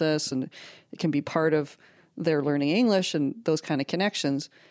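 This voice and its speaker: The sound is dry and close, with no echo, on a very clean recording with a silent background. Delivery runs at a moderate pace with ordinary pitch variation. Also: woman. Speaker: academic co-host introducing guest. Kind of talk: casual interview chat.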